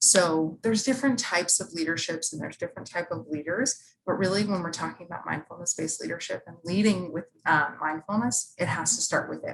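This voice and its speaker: A woman with a fairly low voice speaks at a fairly quick clip, her intonation lively. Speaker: university staff presenter and instructor. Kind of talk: workshop presentation. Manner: fast; animated.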